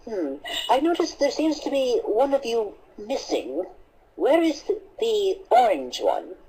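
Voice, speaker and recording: This cartoonish character voice sits high in pitch and moves at a moderate pace. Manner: prim, precise.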